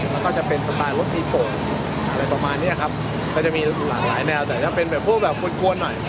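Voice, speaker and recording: A man speaks with a dry sound and no echo, over loud background noise. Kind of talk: interview answer. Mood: relaxed, smiling. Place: street.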